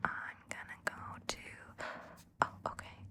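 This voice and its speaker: Noticeable background noise fills the space around a woman. She whispers at a very slow pace. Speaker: voice actor. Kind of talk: ASMR book reading with chat. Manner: whispered.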